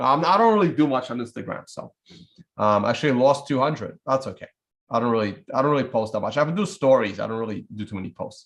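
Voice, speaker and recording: Very fast speech comes from a man in a Russian accent at a medium pitch. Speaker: bitcoin trading YouTuber. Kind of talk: casual livestream commentary. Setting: live stream with screen share. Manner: casual, rambling with frequent fillers.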